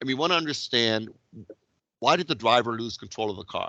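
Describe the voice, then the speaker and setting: A man's bright, sharp tone at a medium pitch, with ordinary pitch variation, against a quiet background. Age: 60s. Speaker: Six Sigma instructor. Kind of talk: online lecture.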